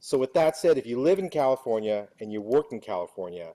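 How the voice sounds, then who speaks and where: Loud and dark, mellow in tone, a man's medium-pitched voice moves at a moderate pace with a dry, close sound and no echo. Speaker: union political director. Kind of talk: speech to meeting.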